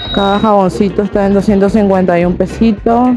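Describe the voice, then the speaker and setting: Clear music plays behind very slow speech with fairly even intonation and a dry sound with no echo. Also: woman. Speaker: travel vlogger. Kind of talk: casual vlog chat. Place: shop. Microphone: lapel.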